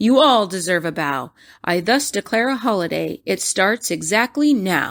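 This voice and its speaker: A woman's mumbled, raspy put-on character voice at medium pitch and moderate pace, with very wide pitch swings, in a very clean recording with a silent background. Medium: read story. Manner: mumbling, fretful.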